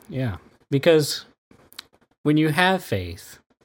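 A somewhat breathy man's voice, very slow, with very wide pitch swings. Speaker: radio host. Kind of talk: casual interview discussion.

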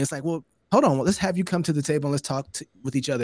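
Talking at a very fast pace, a man with an American accent uses a fairly high pitch and ordinary pitch variation. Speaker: podcast host. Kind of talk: casual chat. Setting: video call.

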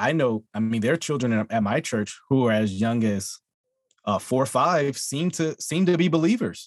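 A man with an American accent talks in a normal speaking voice at medium pitch, with lively intonation and very even loudness. The pace is moderate, and the sound is dry and close with no echo. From Texas. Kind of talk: friendly theological debate.

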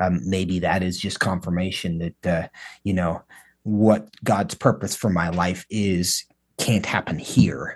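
A man's very deep, low voice with an American accent, fairly even intonation and a fairly slow pace, in a dry, close sound with no echo against a quiet background. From US Pacific Northwest, coastal Washington. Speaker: podcast host. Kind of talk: interview conversation.

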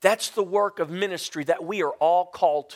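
The voice shows ordinary pitch variation in a very clean, silent recording with a dry, close sound and no echo. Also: man. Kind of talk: sermon. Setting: church. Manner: loud; animated.

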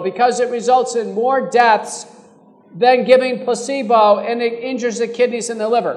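A man speaks with an American accent at an extremely high pitch. His intonation is fairly even, with noticeable background noise. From Texas, Fort Worth area. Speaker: physician. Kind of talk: live panel discussion.

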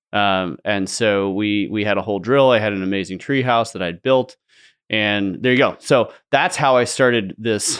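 This is an ordinary speaking voice with an American accent. It moves at a moderate pace with ordinary pitch variation. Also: man, fairly low pitch for a man. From US West Coast. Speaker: company founder. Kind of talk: casual interview.

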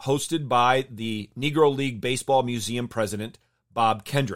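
A man with an unremarkable speaking voice and an American accent talks at a moderate pace and a medium pitch with ordinary pitch variation. The recording is very clean, with a silent background. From Michigan, US Midwest. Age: 50s. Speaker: baseball podcast host, pitching coach. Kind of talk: podcast monologue commentary.

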